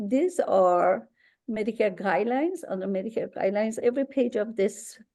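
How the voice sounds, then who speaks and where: Lively intonation in a dark, mellow tone with a strong Persian accent. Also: woman, fairly high pitch for a woman. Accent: thick Persian. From Iran. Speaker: Medicare insurance agent. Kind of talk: webinar presentation.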